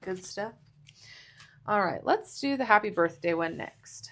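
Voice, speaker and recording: A woman of medium pitch with an American accent, lively intonation and fairly slow pace. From Texas. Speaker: papercraft instructor. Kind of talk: live craft tutorial. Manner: casual, chatty.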